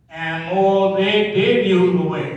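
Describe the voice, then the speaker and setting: A man speaks at a high pitch and a very slow pace. Audible room echo fills the recording. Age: 80s+. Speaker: pastor. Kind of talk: sermon.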